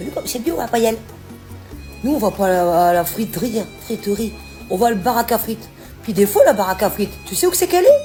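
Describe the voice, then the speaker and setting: The speaker talks at a very fast pace with very wide pitch swings, yet leaves long, frequent pauses. Music plays in the background. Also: woman, fairly high pitch for a woman. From Nord-Pas-de-Calais, northern France. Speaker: home cook. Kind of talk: casual talk to camera about regional cooking words. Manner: chatty, folksy.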